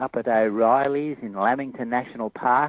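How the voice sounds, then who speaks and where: With an Australian accent, a man speaks at a fairly slow pace in fairly even intonation. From Australia, Sydney. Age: 70s. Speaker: cryptozoologist and ecologist. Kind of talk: interview. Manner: halting, many fillers.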